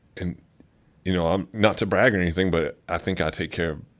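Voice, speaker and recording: The speaker talks at a fairly quick pace with fairly even intonation and vocal fry. The recording is very clean, with a silent background. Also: man. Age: 30s. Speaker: person in early addiction recovery. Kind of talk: casual chat. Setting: studio.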